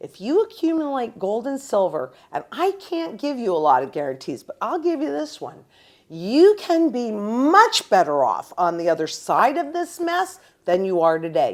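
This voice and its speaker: This woman's high pitch moves in very wide swings as she speaks at a moderate pace. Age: 70s. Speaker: precious metals educator. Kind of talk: interview. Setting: in person. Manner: animated.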